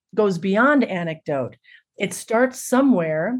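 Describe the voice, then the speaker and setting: A woman talks in a normal speaking voice at a moderate pace with lively intonation. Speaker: storyteller and musician. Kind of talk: interview conversation.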